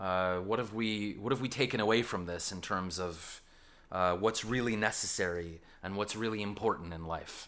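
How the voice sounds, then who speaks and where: A man with a Canadian accent and an ordinary speaking voice talks in a fairly low pitch with ordinary pitch variation. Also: moderate pace. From Canada. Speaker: school science teacher and podcast host. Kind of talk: casual podcast chat.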